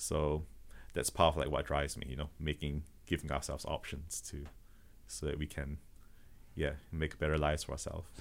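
A man with a slight Malaysian accent talks fairly quickly at a very deep, low pitch, with vocal fry and fairly even intonation. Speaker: automation business founder. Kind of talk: podcast interview. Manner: halting, many repetitions and fillers.

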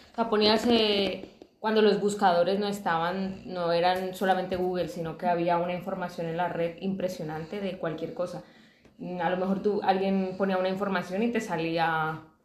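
A woman speaks at a medium pitch and a moderate pace in a monotone, flat delivery. Noticeable background noise and audible room echo fill the recording. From Colombia. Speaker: podcast co-host. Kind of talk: casual chat.

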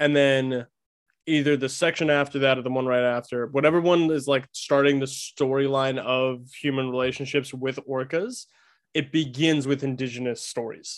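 The voice stays monotone with flat intonation, moving at a moderate pace. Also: man, medium pitch for a man. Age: 20s. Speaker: guest, TikTok creator on orcas. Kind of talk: casual chat.

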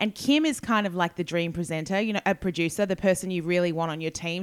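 Speaking with an Australian accent, a woman's voice sits fairly low. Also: dry, close sound with no echo, very clean recording, silent background. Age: 40s. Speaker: broadcaster and writer. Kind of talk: interview.

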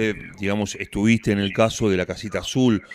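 This man speaks in a Rioplatense accent. His pitch is fairly low and his pace fairly quick. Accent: Argentine Rioplatense Spanish. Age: 50s. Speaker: radio host. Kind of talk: radio interview. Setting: radio studio.

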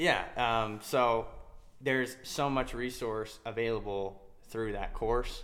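In a room with audible echo, a medium-pitched man with an American accent speaks very slowly and with fairly even intonation. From Utah. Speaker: ATM business owner and podcast co-host. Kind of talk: casual chat. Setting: home.

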